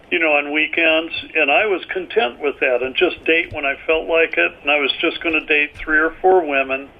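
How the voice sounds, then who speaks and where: At a moderate pace and with hardly any pauses, the speaker comes through over noticeable background noise. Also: man, fairly high pitch for a man, fairly even intonation. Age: 70s. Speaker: author and army veteran. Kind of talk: interview.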